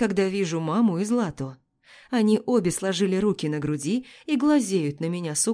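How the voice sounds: Lively intonation from a natural reading voice, quiet background behind it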